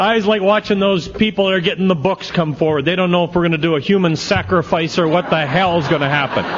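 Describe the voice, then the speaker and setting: A man with a high-pitched voice talks very fast in an animated tone, his loudness very even, over noticeable background noise. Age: 60s. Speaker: AA speaker. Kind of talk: recovery talk to a convention audience. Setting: stage with audience.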